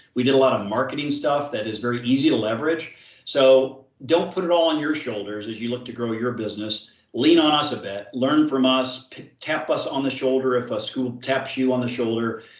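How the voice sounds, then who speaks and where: Over audible room echo, a man talks at a fairly quick pace in a medium pitch with ordinary pitch variation. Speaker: sales manager presenting to partners. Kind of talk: webinar presentation. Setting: virtual seminar. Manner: fast.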